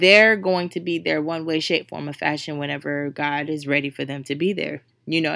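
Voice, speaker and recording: An animated woman's voice, very deep and low, at a fairly quick pace. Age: 20s. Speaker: podcast host. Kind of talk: casual motivational monologue.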